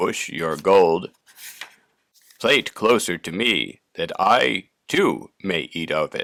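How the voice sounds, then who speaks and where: This is a put-on character voice, croaky and hoarse. It moves at a very slow pace. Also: man, fairly low pitch for a man. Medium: read story.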